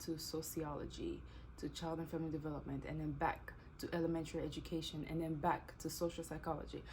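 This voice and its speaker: With audible room echo around her, a woman talks at a fairly quick pace. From DR Congo, Kinshasa. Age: 20s. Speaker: YouTuber and teacher. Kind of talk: casual Q&A vlog.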